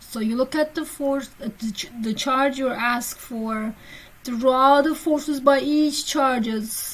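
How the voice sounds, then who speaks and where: A woman speaks at a very slow pace in a high voice with fairly even intonation. Background noise is noticeable. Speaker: physics teacher. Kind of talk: lecture.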